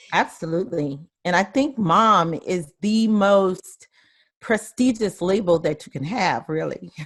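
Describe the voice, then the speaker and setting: With a Southern US accent, this voice carries across. Its intonation rises and falls in a lively way. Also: woman, medium pitch for a woman, fairly slow pace. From US South, rural South Carolina. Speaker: life coach. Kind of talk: interview.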